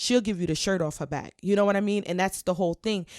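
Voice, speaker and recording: Animated and medium-pitched, a woman speaks with a slight Southern US accent. The recording is very clean, with a silent background. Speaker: podcast co-host. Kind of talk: casual chat.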